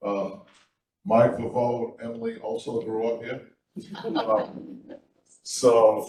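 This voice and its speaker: With an American accent, a man at medium pitch speaks very slowly in a dark, mellow, somewhat breathy tone, monotone and flat, with long, frequent pauses. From Middletown, Rhode Island, US. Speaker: town council candidate. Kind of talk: candidate forum statement. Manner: halting, many fillers.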